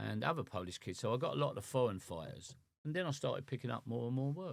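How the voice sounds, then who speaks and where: With an English accent, a man talks very fast at a medium pitch, his voice showing vocal fry. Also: lively intonation. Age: 60s. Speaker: boxing cut man. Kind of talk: casual chat.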